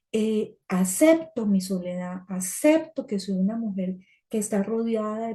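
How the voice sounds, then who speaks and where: Her tone dark and mellow and somewhat breathy, a woman of medium pitch talks at a fairly slow pace with ordinary pitch variation. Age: 60s. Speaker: support group speaker. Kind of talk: talk sharing personal experience.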